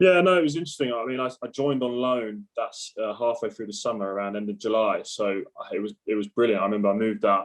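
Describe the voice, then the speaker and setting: A man in a southern English accent, medium in pitch, at a very fast pace with lively intonation. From southern England, Surrey. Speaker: professional cricketer. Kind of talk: podcast interview.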